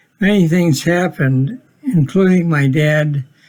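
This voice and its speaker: Somewhat breathy, a man talks at a very slow pace. His pitch variation is ordinary. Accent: Upper Midwest. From Minnesota, Minneapolis. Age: 80s+. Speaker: retiree narrating family history. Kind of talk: home video narration.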